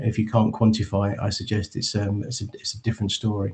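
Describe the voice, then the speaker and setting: A man with an English accent speaks at a fairly quick pace in a fairly low pitch, his voice somewhat breathy and his intonation flat and monotone. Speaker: charity chief executive. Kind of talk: conference presentation. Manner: halting, many fillers.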